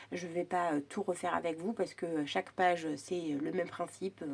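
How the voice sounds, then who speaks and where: A woman's unremarkable speaking voice, medium in pitch, at a moderate pace. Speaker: crafting youtuber. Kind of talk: tutorial. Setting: at home. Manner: casual chatty.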